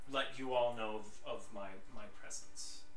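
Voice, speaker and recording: A man does a put-on character voice at a moderate pace over clear background noise. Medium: actual play. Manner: hesitant, stammering.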